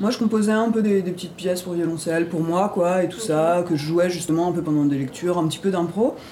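Very fast female speech, fairly low in pitch, with hardly any pauses, audible room echo and noticeable background noise. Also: ordinary pitch variation. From Ardennes, France. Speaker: improvising double bassist. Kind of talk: interview. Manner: halting.

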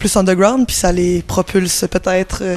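A woman's medium-pitched voice, moderately paced, with fairly even intonation. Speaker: musician. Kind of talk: interview. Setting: music festival.

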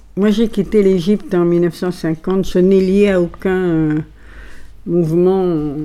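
Speaking at a very slow pace, a woman with a medium pitch and a dark, mellow tone keeps her loudness very even and her intonation fairly even. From Egypt (Alexandria), Greek family. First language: Italian (speaking French). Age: 80s+. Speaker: poetry club owner. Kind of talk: interview.

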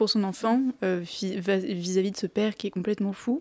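A woman's fairly slow, dark, mellow voice with fairly even intonation, dry and close with no echo, on a very clean recording with a silent background. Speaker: film columnist. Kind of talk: radio film review. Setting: studio.

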